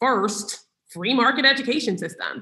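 A woman in an American accent, her tone bright and sharp. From New York City. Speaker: nonprofit executive director. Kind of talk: interview.

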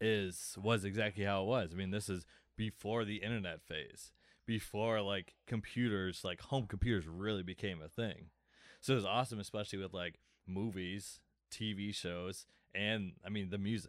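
An ordinary speaking voice from a man, fairly low in pitch with fairly even intonation at a moderate pace, on a very clean recording against a silent background. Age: 30s. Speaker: music fan guest. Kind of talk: casual chat.

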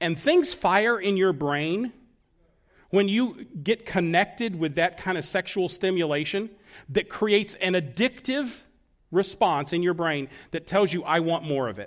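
A man speaks at a fairly slow pace, his pitch high and his intonation lively. The recording is very clean with a silent background. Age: 60s. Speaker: pastor. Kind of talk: sermon. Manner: hesitant with frequent fillers.

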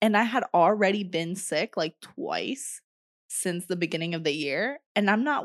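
Against a quiet background, a woman with a plain, everyday voice speaks at medium pitch and a fairly slow pace with lively intonation. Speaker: podcast host. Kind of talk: casual chat. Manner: playful banter.

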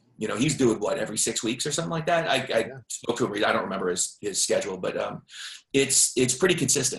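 Somewhat breathy and fairly quick, a man speaks at a medium pitch with very wide pitch swings. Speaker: author marketing founder. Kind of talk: casual interview.

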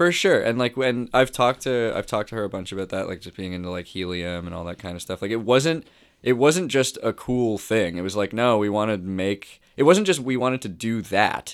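A man with an unremarkable speaking voice and medium pitch talks at a fairly quick pace with lively intonation and hardly any pauses. His loudness swings widely, on a very clean recording with a silent background. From Toronto, Canada. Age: 30s. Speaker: musician. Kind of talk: casual chat.

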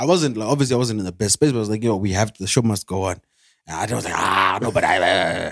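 Very fast and fairly low in pitch, a man's speech shows ordinary pitch variation. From Zimbabwe. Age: 30s. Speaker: podcast co-host. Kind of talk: casual chat.

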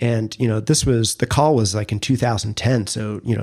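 A man with a normal speaking voice talks at a moderate pace, using a medium pitch and fairly even intonation. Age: 40s. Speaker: podcast co-host, brand strategist. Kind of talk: casual interview about career story.

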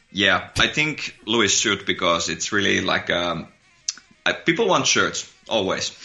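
With a Finnish accent, a man talks at a fairly slow pace and fairly low pitch over noticeable background noise. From Finland. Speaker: musician in a psychobilly band. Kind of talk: casual interview chat. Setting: video call.

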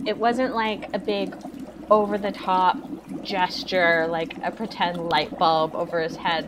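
A woman speaks at a fairly slow pace with a medium pitch and lively intonation over noticeable background noise. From Canada. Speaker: classic film podcaster. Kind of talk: casual chat.

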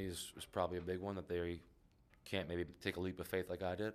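A man talks very fast in a very deep, low voice. His intonation is monotone and flat, and the recording is very clean with a silent background. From Canada, Prince Edward Island. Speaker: basketball assistant coach. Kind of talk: interview. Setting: conference room at a practice facility.

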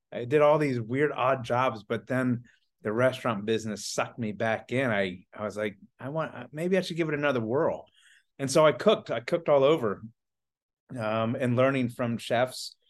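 A man with an American accent and a plain, everyday voice, medium in pitch, with ordinary pitch variation at a moderate pace against a quiet background. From US South, Atlanta, Georgia area. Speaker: chocolatier and business owner. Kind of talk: casual interview chat.

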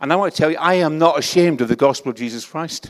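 Recorded with a dry, close sound and no echo, a man with a Scottish accent speaks with lively intonation. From Scotland. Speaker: pastor. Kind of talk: sermon. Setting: church.

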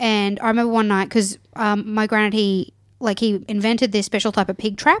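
On a very clean recording with a silent background, a woman with an Australian accent and a fairly high pitch talks at a fairly quick pace in a flat, monotone intonation. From Townsville, Queensland, Australia. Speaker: stand-up comedian. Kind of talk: casual chat.

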